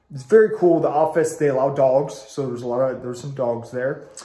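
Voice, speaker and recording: A fairly quick pace amid noticeable background noise and audible room echo. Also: man. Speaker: food reviewer. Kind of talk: casual product review.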